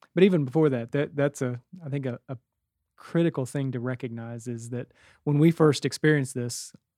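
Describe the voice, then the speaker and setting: Speaking with an American accent, a man with an ordinary speaking voice talks at a medium pitch and a fairly quick pace. The recording is very clean, with a silent background and a dry, close sound with no echo. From West Virginia. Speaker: pastor. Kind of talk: testimony.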